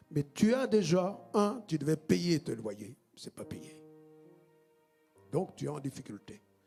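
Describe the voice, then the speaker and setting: The man speaks at a very slow pace. His intonation is lively. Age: 60s. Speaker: pastor. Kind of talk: sermon.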